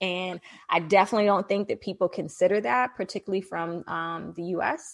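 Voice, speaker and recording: With an American accent, a woman speaks in a plain, everyday voice at a medium pitch with ordinary pitch variation. She talks at a fairly quick pace over a quiet background. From Washington DC, US. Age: 40s. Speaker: digital marketing entrepreneur and expat. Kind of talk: interview.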